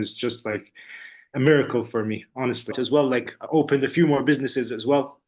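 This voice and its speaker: A man with an Arabic accent, fairly high-pitched, talking at a very fast pace with ordinary pitch variation over a quiet background. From UAE. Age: 30s. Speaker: language student and entrepreneur. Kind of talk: testimonial interview. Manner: casual, halting with many fillers and repeats.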